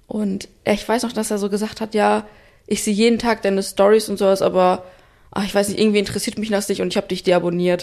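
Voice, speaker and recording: Her intonation monotone and flat, a woman speaks at a very fast pace. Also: medium pitch for a woman. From Espelkamp, East Westphalia, Germany. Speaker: podcast host, company founder. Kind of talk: casual chat.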